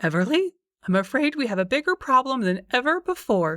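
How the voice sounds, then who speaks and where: In a put-on character voice, a woman speaks high and strained at a fairly quick pace, her pitch swinging very widely. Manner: strained, anxious.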